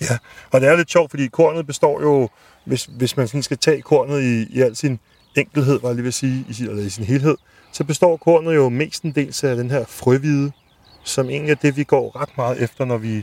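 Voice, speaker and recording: At a moderate pace, a man with a plain, everyday voice speaks at a medium pitch with ordinary pitch variation, the sound dry and close with no echo. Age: 30s. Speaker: food podcast host. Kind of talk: interview.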